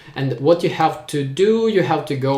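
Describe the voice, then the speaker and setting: A man with a Ukrainian accent talks at a moderate pace with ordinary pitch variation. Room echo is audible. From Ukraine. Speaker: tech YouTuber. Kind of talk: live stream Q&A.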